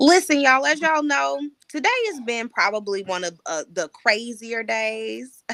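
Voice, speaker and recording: Loud and fairly high-pitched, a woman talks at a moderate pace with very wide pitch swings. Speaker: podcast host, editor and writing coach. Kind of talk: casual livestream podcast chat.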